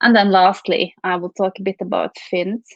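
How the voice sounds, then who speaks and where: A woman speaks at medium pitch in a monotone, flat intonation. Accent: Norwegian. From Norway. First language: Norwegian. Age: 30s. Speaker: venture capital investor. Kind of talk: keynote talk. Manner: halting, many repeats.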